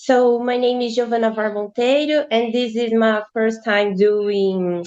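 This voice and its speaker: The speaker has a Brazilian accent. The pace is fairly slow. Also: woman. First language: Portuguese. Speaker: law student presenter. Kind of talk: academic presentation. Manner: halting, with self-corrections.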